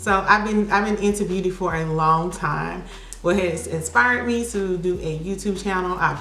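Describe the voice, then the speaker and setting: A woman with an American accent at medium pitch, moderate pace and fairly even intonation, amid noticeable background noise and audible room echo. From US South, Birmingham, Alabama. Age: 30s. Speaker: makeup artist and beauty YouTuber. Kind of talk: casual chat during makeup tutorial.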